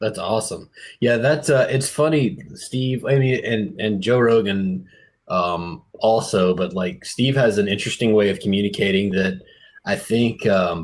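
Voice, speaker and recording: Speaking with an American accent, a man talks at a fairly slow pace and medium pitch, with lively intonation. The recording is very clean and the background silent. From US South, South Mississippi. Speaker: podcast host. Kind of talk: casual interview.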